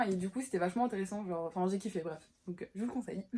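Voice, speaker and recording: The woman's pitch rises and falls by an ordinary amount. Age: 20s. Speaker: book vlogger. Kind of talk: casual chat. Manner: halting.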